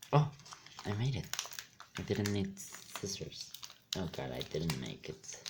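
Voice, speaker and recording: A man speaks quietly and in an animated tone at a fairly low pitch, with very wide pitch swings. His pace is fairly slow, with long, frequent pauses, over noticeable background noise. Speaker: card pack opening youtuber. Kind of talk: casual pack opening commentary. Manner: quiet, low-volume talk; animated, exclamatory.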